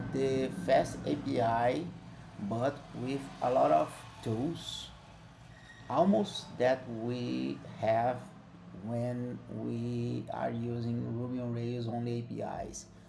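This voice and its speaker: Heard with audible room echo, a man with a non-native accent talks at a very slow pace with long, frequent pauses. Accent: non-native English, self-described imperfect. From Brazil. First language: Portuguese. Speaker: software developer. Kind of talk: tutorial. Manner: halting, with frequent fillers.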